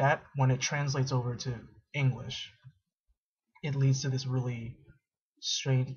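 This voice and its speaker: Against a quiet background, a somewhat breathy man speaks fairly slowly with monotone, flat intonation. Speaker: college student. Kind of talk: casual talk to camera. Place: home room. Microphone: webcam.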